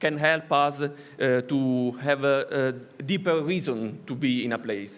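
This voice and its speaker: This man speaks with an Italian accent. His pitch is fairly high, with ordinary variation. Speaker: art academy professor and curator. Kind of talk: conference talk. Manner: halting, many hesitations.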